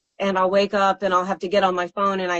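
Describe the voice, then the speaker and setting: A woman at a fairly quick pace. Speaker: singer and songwriter. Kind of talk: interview. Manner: halting.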